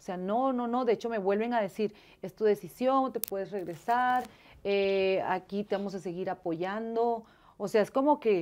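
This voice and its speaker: Her pitch moves up and down in a normal way. The woman keeps to a middling speed. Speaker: interview guest. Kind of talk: interview answer. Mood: emotional, animated storytelling. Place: studio.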